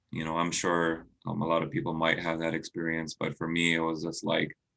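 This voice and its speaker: The pitch is very deep and low. A man is speaking at a moderate pace. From US Midwest, moved from India at age five. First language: Indian language. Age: 30s. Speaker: physician. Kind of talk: interview. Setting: video call livestream.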